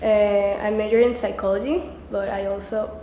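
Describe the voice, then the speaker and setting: Speaking with a Venezuelan accent, a woman with a fairly high voice keeps her intonation fairly even, with audible room echo and noticeable background noise. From Venezuela, Caracas. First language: Spanish. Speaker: community college student. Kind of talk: personal interview statement.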